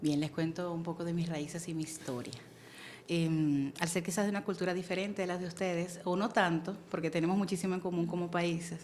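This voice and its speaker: A woman with a Venezuelan accent, fairly low in pitch, with fairly even intonation and a fairly quick pace. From Venezuela, Caracas. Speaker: church member, guest on women's faith show. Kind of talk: testimony.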